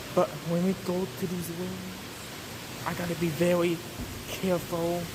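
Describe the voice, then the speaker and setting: A man whispers at a moderate pace. Noticeable background noise and audible room echo surround him. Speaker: fire alarm enthusiast vlogger. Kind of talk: walking video tour. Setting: indoors, hotel hallways. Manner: casual, spontaneous; whispering in hallways.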